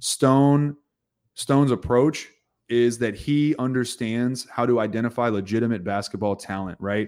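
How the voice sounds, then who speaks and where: In an ordinary speaking voice, a man talks at a medium pitch with ordinary pitch variation on a very clean recording with a silent background. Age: 30s. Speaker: basketball podcast host. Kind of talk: casual chat.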